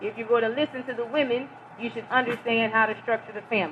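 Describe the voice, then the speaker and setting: A woman speaks with a fairly high pitch. There is noticeable background noise. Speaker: religious lecturer. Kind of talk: lecture. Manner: loud.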